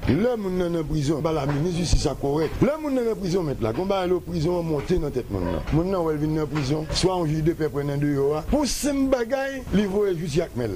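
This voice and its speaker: A man speaks at a fairly quick pace in a high pitch with lively intonation. Noticeable background noise runs underneath. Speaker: human rights advocate. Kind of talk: news interview.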